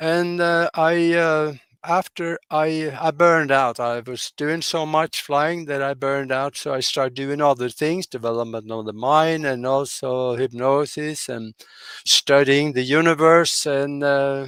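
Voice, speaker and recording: With a Norwegian accent, a man speaks in a fairly high pitch with fairly even intonation, the sound dry and close with no echo. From Norway. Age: 80s+. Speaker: pilot and hypnotherapist, podcast guest. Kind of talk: interview conversation. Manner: halting, many fillers.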